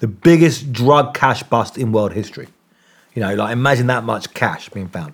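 A man with an English accent and a medium pitch. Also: lively intonation, moderate pace. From England. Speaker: investigative journalist. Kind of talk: interview. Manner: halting.

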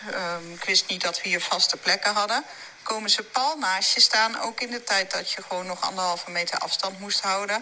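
A woman speaks at a medium pitch against noticeable background noise. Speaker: weight-loss coach. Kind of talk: interview conversation.

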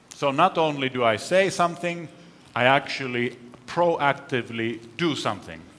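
Very slow speech from a man with a fairly high pitch and lively intonation, set against noticeable background noise. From Finland and Canada. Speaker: professor. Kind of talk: lecture.

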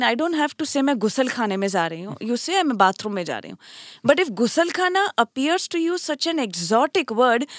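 Very wide pitch swings mark a woman's high voice at a moderate pace, recorded very cleanly with a silent background and a dry, close sound with no echo. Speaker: translation studies professor. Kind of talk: panel discussion.

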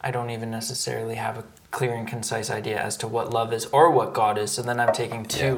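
Noticeable background noise and audible room echo surround a man with a Canadian accent. His medium-pitched voice moves at a fairly quick pace and stays monotone and flat. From Canada, Victoria. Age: 30s. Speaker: performance artist. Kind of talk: casual chat. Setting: at home.

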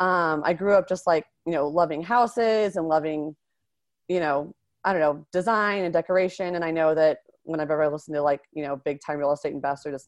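A woman's unremarkable speaking voice, fairly low-pitched and fairly quick, with ordinary pitch variation, dry close sound with no echo, and a quiet background. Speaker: real estate investor and physician assistant. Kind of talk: interview.

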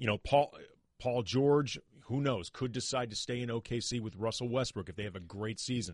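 Over a quiet background, a man in a normal speaking voice talks fairly quickly at medium pitch with ordinary pitch variation. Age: 40s. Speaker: sports podcast host. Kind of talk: casual chat.

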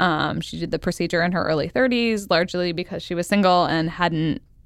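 A woman's fairly low-pitched voice with vocal fry. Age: 30s. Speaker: podcast host. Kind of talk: casual chat.

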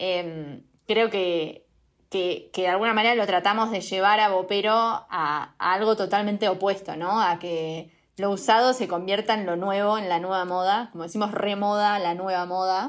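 At a moderate pace, a woman has an unremarkable speaking voice, a medium pitch and fairly even intonation, in a very clean recording with a silent background. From Uruguay. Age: 20s. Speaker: fashion startup co-founder. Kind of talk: casual interview.

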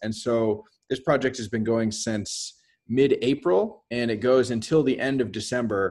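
Against a quiet background, a man with a plain, everyday voice speaks at a moderate pace and medium pitch, with ordinary pitch variation. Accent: American. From US West Coast, San Francisco Bay Area. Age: 30s. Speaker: artist. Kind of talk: casual interview.

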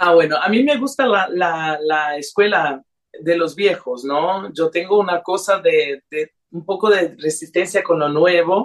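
Talking at a fairly slow pace, a woman has a fairly low pitch with ordinary variation. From Brazilian-Honduran, raised in several countries. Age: young. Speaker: singer. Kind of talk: radio interview. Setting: remote call to radio studio. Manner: hesitant, many fillers.

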